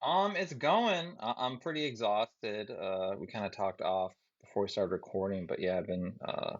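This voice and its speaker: This man speaks at a moderate pace. He hardly pauses at all. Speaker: army officer nearing retirement. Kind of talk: casual chat.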